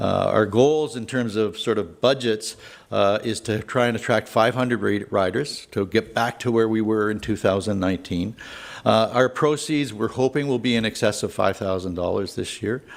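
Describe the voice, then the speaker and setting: This voice has a Canadian accent and ordinary pitch variation. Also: man, medium pitch for a man. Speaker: event organizer presenting to council. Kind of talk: presentation to council. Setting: council meeting. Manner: fast; hesitant with many fillers.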